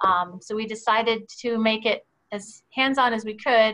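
Fairly even intonation marks the woman's speech. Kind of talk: presentation to board. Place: home room. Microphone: video call.

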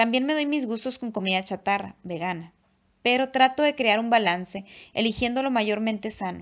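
Here a woman uses an ordinary speaking voice, fairly high in pitch, with ordinary pitch variation at a moderate pace. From Mexico, Nuevo Laredo, Tamaulipas. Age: 30s. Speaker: YouTuber and author. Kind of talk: reading aloud.

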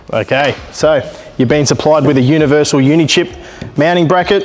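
With fairly even intonation, a man delivers his words at a fairly quick pace. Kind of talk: tutorial. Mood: relaxed, light humour. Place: workshop.

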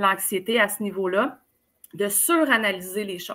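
Bright, sharp tone from a woman with a Quebec accent, lively intonation and a very slow pace, very clean recording against a silent background. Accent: Québécois French. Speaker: life coach. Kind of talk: casual interview.

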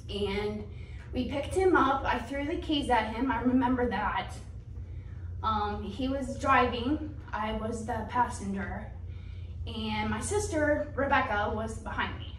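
Against light background noise and audible room echo, a woman talks at a fairly slow pace. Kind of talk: personal testimony. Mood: earnest storytelling. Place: church.

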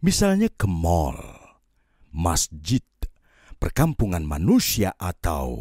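A very deep, low male voice, somewhat breathy and dramatic, with lively intonation, a very slow pace and long, frequent pauses, in a very clean, dry, close recording with no echo and a silent background. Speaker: audiobook narrator. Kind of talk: audiobook poetry reading, spoken word. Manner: slow, contemplative, lyrical; wistful, yearning, dramatic.

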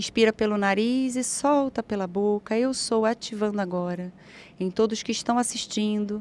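In a dry recording with no echo, a woman speaks in a fairly high pitch with fairly even intonation. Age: 40s. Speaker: spiritual therapist; guest. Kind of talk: guided meditation. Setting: live stream studio. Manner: slow. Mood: calm, soothing guidance.

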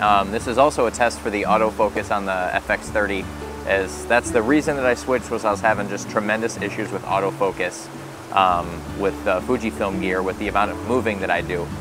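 Over background music, a man with a fairly low pitch talks at a fairly quick pace with ordinary pitch variation in a dry sound with no echo. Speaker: photography vlogger. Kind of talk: casual vlog chat. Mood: relaxed and light-hearted. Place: waterside.

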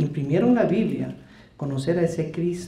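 There is audible room echo as a man with a high-pitched voice speaks at a moderate pace. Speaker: evangelical preacher. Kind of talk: heated debate. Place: hall. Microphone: handheld.

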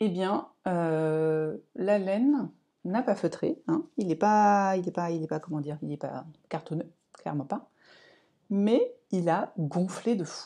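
With a dark, mellow tone and lively intonation, a woman speaks very slowly over a quiet background. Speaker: crafting vlogger. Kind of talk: casual vlog monologue. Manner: hesitant, many fillers. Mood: calm, relaxed. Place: home room. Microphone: lapel.

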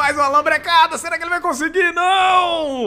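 A man speaks with a Brazilian accent. His voice is raised and projected. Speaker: esports commentator. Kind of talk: live esports commentary, play-by-play of a Dota 2 match. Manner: jokey and playful, teasing players with banter.

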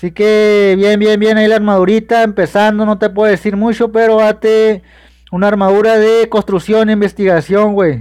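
In a Mexican accent, a man with a high pitch speaks in a flat monotone at a very even loudness. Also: moderate pace, quiet background. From Mexico. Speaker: gaming streamer. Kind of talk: live stream chat. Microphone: phone near.

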